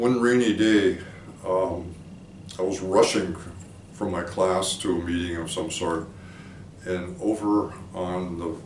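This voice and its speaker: Speaking in an American accent, a man with a very deep, low pitch goes at a fairly slow pace with fairly even intonation, long, frequent pauses and audible room echo. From Minnesota, US Midwest. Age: 70s. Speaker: philosophy professor. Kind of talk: oral history interview. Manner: reflective, with hesitations.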